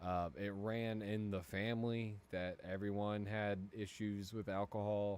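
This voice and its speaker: With an American accent, a man speaks in a fairly low, monotone voice with flat intonation, very even loudness and hardly any pauses. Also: fairly slow pace. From Cincinnati area, US Midwest. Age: 30s. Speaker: gaming streamer. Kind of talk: casual chat. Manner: halting.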